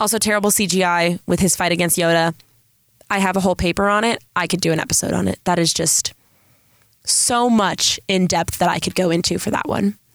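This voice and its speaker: With a Southern California accent, a woman speaks at a fairly quick pace with an animated tone, a fairly low pitch and very even loudness, in a dry, close sound with no echo. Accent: Southern California, Valley girl-like. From San Diego, California. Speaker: podcast host, college student. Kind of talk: casual solo podcast monologue. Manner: animated, scattered.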